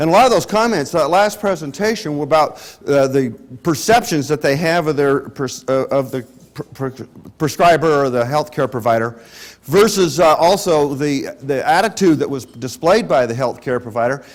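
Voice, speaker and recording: A man with an American accent, fairly high pitch and lively intonation. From Utah. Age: 60s. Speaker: clinical pharmacist and lecturer. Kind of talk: lecture. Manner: fast; animated.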